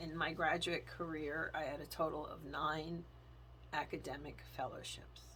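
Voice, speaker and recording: Audible room echo follows the voice, which keeps a moderate pace. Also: woman. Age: 50s. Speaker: faith and planner vlogger. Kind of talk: testimony.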